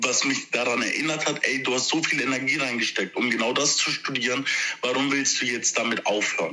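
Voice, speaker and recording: Amid noticeable background noise, a man of medium pitch talks at a fairly quick pace with fairly even intonation. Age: 20s. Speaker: social worker. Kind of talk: interview. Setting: phone call.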